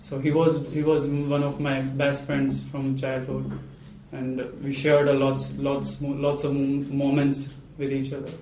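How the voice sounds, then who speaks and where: The delivery is monotone and flat in intonation, at a fairly slow pace. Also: man, fairly high pitch for a man. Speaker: English language student. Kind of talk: mock exam interview answer. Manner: hesitant, nervous, many fillers.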